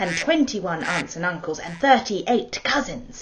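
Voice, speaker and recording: Over noticeable background noise, a woman with a British accent speaks with very wide pitch swings. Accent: quite British. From Hong Kong. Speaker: storyteller, actor. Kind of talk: personal introduction; bedtime story telling.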